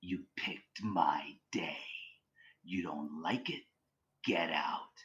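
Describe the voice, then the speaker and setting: Slow and raspy, a man does a put-on character voice at a fairly low pitch, with a very slow pace and long, frequent pauses. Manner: creepy, rasping.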